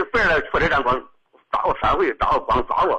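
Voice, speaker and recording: A man talks at a fairly quick pace. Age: 50s. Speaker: caller. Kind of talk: call-in advice conversation. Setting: phone call. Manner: halting.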